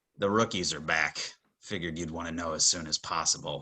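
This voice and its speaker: Raspy and quick, this put-on character voice moves at a fairly fast pace with fairly even intonation. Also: man, very deep, low pitch for a man. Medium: actual play. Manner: curt.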